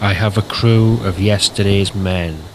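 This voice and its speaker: A man speaks slowly-ish, at a fairly slow pace, with fairly low pitch and fairly even intonation. There is noticeable background noise. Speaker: poet. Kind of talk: spoken word poetry reading.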